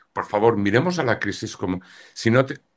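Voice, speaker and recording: Against a quiet background, a man talks at a moderate pace and medium pitch. He has an ordinary speaking voice. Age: 60s. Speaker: astrologer and tarot reader. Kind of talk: interview.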